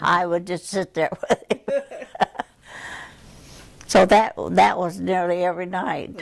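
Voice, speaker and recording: A woman with a Midwestern accent, very slow pace, long and frequent pauses. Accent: American Midwest. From Kansas City, Missouri. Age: 80s+. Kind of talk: interview answer.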